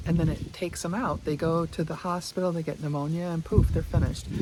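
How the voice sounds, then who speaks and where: A fairly low-pitched woman's voice against noticeable background noise. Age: 60s. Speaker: fitness vlogger. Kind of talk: casual talk to camera. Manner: chatty, rambling.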